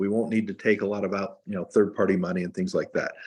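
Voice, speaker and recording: With a normal speaking voice, a man talks at a fairly low pitch with ordinary pitch variation over a quiet background. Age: 60s. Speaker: investment firm founder. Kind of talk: interview.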